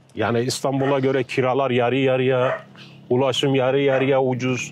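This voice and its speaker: At a moderate pace, a man with a medium pitch talks in a flat monotone at very even loudness, with audible room echo and noticeable background noise. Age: 60s. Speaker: retired villager. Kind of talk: casual interview chat.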